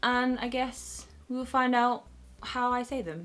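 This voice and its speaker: Music plays behind a woman's voice. She speaks with a fairly high pitch in a Northern English accent. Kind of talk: casual, conversational.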